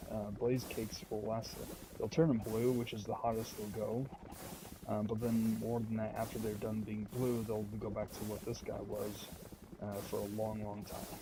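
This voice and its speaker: A soft-spoken voice talks at a moderate pace with monotone, flat intonation, over noticeable background noise and audible room echo. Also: man, fairly low pitch for a man. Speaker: gaming video creator. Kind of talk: gameplay commentary. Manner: casual with many fillers.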